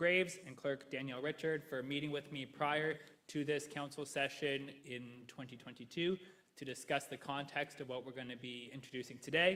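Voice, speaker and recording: A man with a Canadian accent has a bright, sharp tone. His pitch is fairly high, and his intonation is fairly even. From Canada, Ingersoll, Ontario. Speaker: history professor. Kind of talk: presentation. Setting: council chamber with mic.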